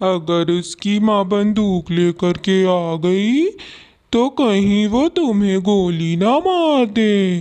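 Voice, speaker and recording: A female-sounding cartoonish character voice sits at middle pitch. It moves at a very slow pace. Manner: wheedling, excuse-making.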